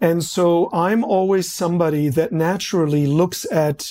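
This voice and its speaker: On a very clean recording with a silent background, a man speaks at a fairly slow pace. His tone is dark and mellow, with ordinary pitch variation. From East Berlin, Germany. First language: German. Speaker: marketing executive. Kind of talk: interview.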